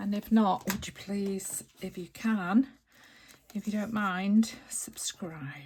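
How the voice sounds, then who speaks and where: A woman speaks at a very slow pace, her voice somewhat breathy. Her pitch sits in the medium range. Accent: British. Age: 70s. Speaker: crafter. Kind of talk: crafting tutorial with casual chat. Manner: hesitant, many fillers.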